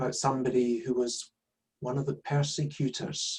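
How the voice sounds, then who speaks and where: A man in a Glaswegian accent, somewhat breathy and monotone, with flat intonation. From Scotland, Glasgow. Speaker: son of a Nazi perpetrator, speaker. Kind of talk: public talk.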